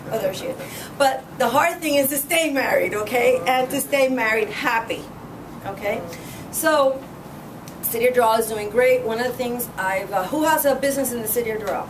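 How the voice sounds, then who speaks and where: An animated voice with ordinary pitch variation comes through audible room echo and noticeable background noise. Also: woman, high pitch for a woman. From Cuba. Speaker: political candidate. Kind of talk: campaign speech. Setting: meeting room with audience. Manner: fast.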